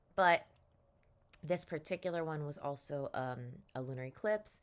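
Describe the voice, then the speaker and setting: A woman at a moderate pace, in a very clean recording with a silent background. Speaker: spiritual lifestyle vlogger. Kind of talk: casual vlog monologue. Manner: casual, hesitant with fillers.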